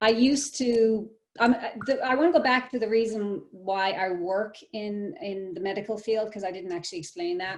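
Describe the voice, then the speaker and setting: With an Irish accent, a woman speaks at a fairly high pitch and a moderate pace. Her intonation is lively, and her loudness swings a lot. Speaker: physical therapist assistant. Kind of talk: casual chat. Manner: halting.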